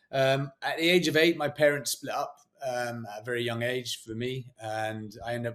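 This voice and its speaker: A man speaks with a British accent at medium pitch. His intonation is fairly even and his pace moderate. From England. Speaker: former special forces soldier and motivational speaker. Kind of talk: podcast interview.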